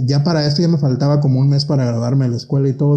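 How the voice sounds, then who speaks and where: A man's fairly high voice comes across with a dark, mellow tone, somewhat breathy, with ordinary pitch variation. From Mexico (Michoacán, near Apatzingán). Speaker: cosmetologist and pageant director. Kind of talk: casual interview chat.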